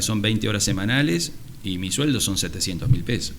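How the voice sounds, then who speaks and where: A man's fairly quick, fairly low-pitched speech in an Argentine accent, with audible room echo. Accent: Rioplatense Argentine Spanish. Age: 60s. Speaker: surgeon and university lecturer. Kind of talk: interview conversation.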